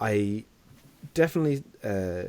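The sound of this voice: At a fairly slow pace, a man speaks in a slightly mellow tone. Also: fairly low pitch for a man, lively intonation.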